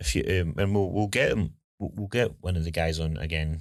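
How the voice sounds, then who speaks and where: Speaking very fast in a Scottish accent, a man with a very deep, low voice is heard in a very clean recording with a silent background. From Scotland. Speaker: home building consultant and podcast host. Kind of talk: casual podcast chat.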